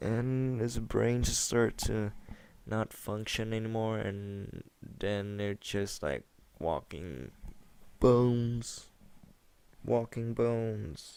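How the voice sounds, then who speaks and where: At a very slow pace, a man with a non-native accent speaks at medium pitch, with ordinary pitch variation and long, frequent pauses. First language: not English. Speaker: gaming commentator. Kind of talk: gameplay commentary chat. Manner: halting, many repetitions and fillers.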